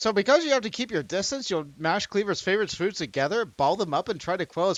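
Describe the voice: It is plain reading aloud. The intonation stays lively throughout.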